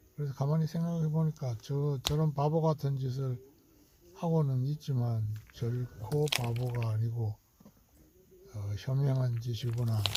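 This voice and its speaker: At a fairly slow pace and with long, frequent pauses, a man speaks in a medium-pitched, somewhat breathy voice with a dark, mellow tone and ordinary pitch variation. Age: 70s. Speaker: retired hobby farmer vlogger. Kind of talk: casual video diary narration. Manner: halting, with many fillers.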